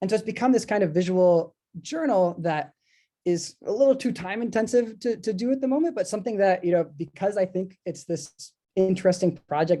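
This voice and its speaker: Speaking at a fairly quick pace, a man uses a high pitch and a dark, mellow tone with lively intonation. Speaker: artist and book designer. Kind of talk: online presentation. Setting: video call. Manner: fast.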